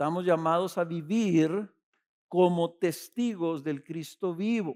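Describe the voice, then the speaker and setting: Talking at a very slow pace, a man with a high pitch uses ordinary pitch variation. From Mexico, Ciudad Juárez. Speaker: pastor. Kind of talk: sermon.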